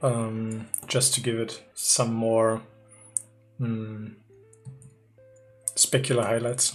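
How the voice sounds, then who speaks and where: The speaker talks very slowly in a German accent, with long, frequent pauses. Music plays in the background. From Germany. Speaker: 3D artist streamer. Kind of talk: live stream tutorial chat. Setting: live stream. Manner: hesitant, many fillers.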